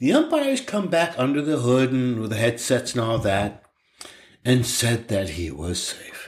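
A man talks at a moderate pace in a somewhat breathy, medium-pitched voice with lively intonation. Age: 60s. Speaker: podcast co-host, dad. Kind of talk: casual chat.

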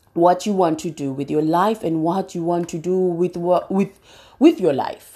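At a moderate pace and medium pitch, a woman speaks in an unremarkable speaking voice on a very clean recording with a silent background. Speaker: podcast host. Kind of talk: motivational monologue.

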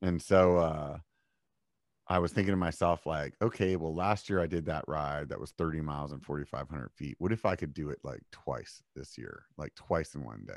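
In a very clean, dry, close recording with a silent background and no echo, a man with an American accent speaks at a very deep, low pitch with vocal fry, ordinary pitch variation and big swings in loudness. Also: moderate pace. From Pennsylvania, York. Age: 40s. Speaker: mountain bike podcaster. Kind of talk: casual chat.

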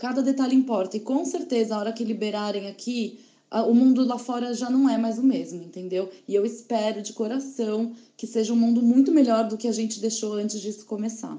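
With a plain, everyday voice, a woman speaks at a fairly quick pace and with fairly even intonation. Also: fairly high pitch for a woman. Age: 30s. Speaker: advertising professional, traveler. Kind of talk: casual chat, separately recorded.

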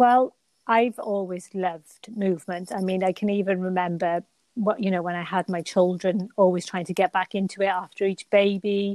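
On a very clean recording with a silent background and a dry, close sound with no echo, a woman speaks with a British accent in a monotone, flat intonation. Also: medium pitch for a woman, moderate pace. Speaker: Pilates teacher and personal trainer. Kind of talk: casual interview chat.

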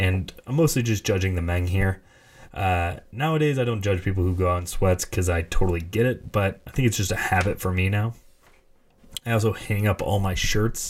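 A man speaks at a moderate pace in a fairly low, somewhat breathy voice. His pitch varies in an ordinary way. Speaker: podcast host. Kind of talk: casual monologue. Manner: halting.

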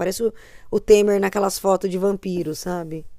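At a moderate pace, a woman talks at medium pitch in an ordinary speaking voice. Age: 30s. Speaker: podcast co-host. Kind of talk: casual chat.

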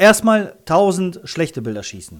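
With very wide pitch swings, a man talks at a fairly slow speed. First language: Russian (speaking German). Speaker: freelance photographer and content creator. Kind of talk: interview. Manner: hesitant with many fillers.

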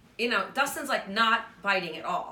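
A woman speaks with lively intonation. The recording carries noticeable background noise and audible room echo. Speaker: podcast host. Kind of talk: casual chat.

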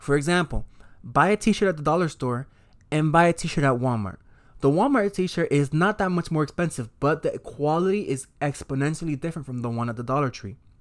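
On a very clean recording with a silent background, a man with an unremarkable speaking voice talks fairly quickly at a fairly high pitch with lively intonation. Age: 20s. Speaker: podcast host. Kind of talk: casual monologue. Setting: home desk recording.

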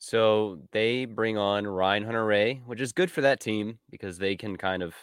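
A man speaks in a plain, everyday voice at a fairly low pitch and a moderate pace, with ordinary pitch variation. The recording is very clean, with a silent background. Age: 20s. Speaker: motorsport podcast co-host. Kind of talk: casual chat.

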